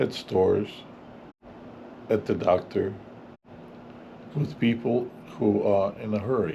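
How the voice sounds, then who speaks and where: At a very slow pace, a man talks with a non-native accent. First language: not English. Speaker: English teacher. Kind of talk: tutorial. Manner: clear.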